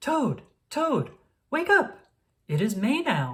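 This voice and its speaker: A man's put-on character voice, extremely high and very slow. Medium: read story.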